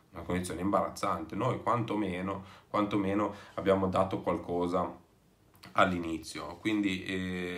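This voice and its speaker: In a fairly low, flat monotone, a man speaks. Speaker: football fan video commentator; football fan vlogger. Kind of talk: casual vlog commentary. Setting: away from home. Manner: speaking softly; hesitant, many fillers. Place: home room. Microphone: phone near.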